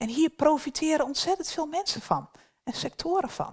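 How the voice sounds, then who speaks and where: A woman talks at a moderate speed, and the background is quiet. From northern Netherlands. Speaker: beaver management ecologist; presenter. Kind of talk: workshop presentation. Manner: hesitant, many filler sounds. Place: hall.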